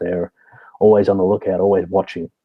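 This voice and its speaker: In an Australian accent, a man speaks with a fairly low pitch and flat, monotone intonation. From Australia, Sydney. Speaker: security consultant, military veteran. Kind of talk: interview.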